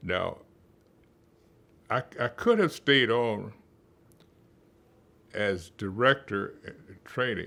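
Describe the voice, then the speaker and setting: A man at medium pitch speaks at a very slow pace with long, frequent pauses, big swings in loudness, a bright, sharp tone and ordinary pitch variation. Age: 80s+. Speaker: retired psychology professor. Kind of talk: interview. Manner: halting.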